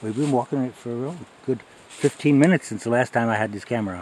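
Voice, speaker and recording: A man at a fairly quick pace with ordinary pitch variation, the sound dry with no echo, light background noise. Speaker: hiker vlogger. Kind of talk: casual vlog chat. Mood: relaxed, amused. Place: forest. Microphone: phone near.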